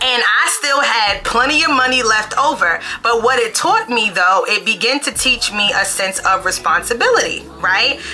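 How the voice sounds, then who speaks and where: Over music in the background, the speech comes in a New York accent at a moderate pace, with lively intonation, very even loudness and hardly any pauses. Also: woman, high pitch for a woman. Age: 30s. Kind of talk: casual talk to camera.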